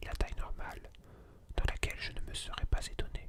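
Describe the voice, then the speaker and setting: Someone whispers in a calm tone at a moderate pace over noticeable background noise. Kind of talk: ASMR reading of a philosophy lecture. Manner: whispered; calm, relaxing.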